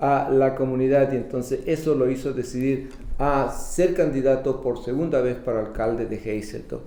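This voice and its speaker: With audible room echo, a man with a fairly high pitch talks at a very fast pace and fairly even intonation. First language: Spanish. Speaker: bilingual community TV interviewer. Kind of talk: interview. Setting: studio.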